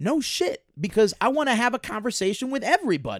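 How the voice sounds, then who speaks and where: In a dry, close recording with no echo and a silent background, a man with an American accent speaks in an animated tone. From Chicago. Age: 20s. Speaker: comedian. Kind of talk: casual chat.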